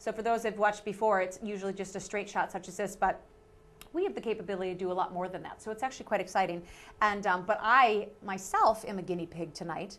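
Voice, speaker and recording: Against noticeable background noise, a woman with an American accent speaks very fast at a medium pitch, her intonation fairly even. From Minnesota. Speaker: community TV host. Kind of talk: talk show interview. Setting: TV studio.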